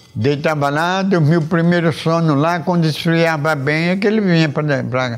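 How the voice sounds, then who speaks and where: A man talks at a moderate pace with hardly any pauses and very even loudness. Audible room echo surrounds his voice. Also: fairly high pitch for a man, ordinary pitch variation. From Arapiraca, Alagoas, Brazil. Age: 70s. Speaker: elderly local resident interviewee. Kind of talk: interview. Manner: halting, repetitive.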